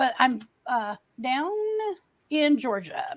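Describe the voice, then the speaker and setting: The woman's voice sits at a high pitch. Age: 60s. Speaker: livestreamer. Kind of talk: casual chat. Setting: livestream.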